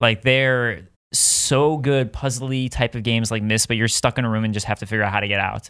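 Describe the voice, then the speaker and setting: With an American accent, a man talks at a fairly quick pace with hardly any pauses, keeping a medium pitch and fairly even intonation. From US Midwest. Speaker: on-camera presenter and voice-over artist. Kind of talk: casual chat.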